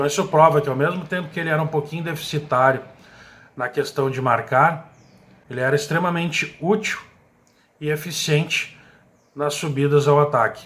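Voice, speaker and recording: Fairly quick delivery from a man with a fairly high voice and fairly even intonation. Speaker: radio sports commentator. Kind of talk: radio sports commentary.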